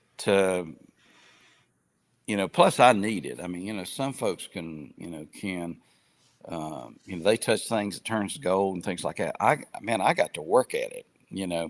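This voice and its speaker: A man with an Appalachian accent speaks at a fairly slow pace with a very deep, low pitch. His loudness swings widely while his pitch varies in an ordinary way. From southern West Virginia. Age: 60s. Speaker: retired businessman and gospel group outreach. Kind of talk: interview conversation. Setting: live online podcast.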